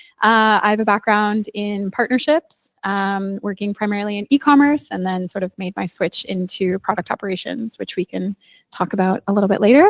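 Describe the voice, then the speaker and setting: In a Canadian accent, a woman with a plain, everyday voice talks fairly quickly at a medium pitch with hardly any pauses, on a very clean recording with a silent background and a dry, close sound free of echo. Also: ordinary pitch variation. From Canada. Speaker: product operations manager. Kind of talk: panel talk. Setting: stage with audience at meetup.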